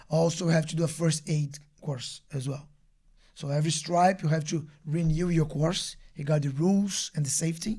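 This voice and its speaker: A man with a strong Brazilian accent speaks at fairly high pitch in a dark, mellow tone with fairly even intonation. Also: moderate pace. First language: Portuguese. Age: 30s. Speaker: martial arts instructor. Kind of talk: casual interview chat. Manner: halting.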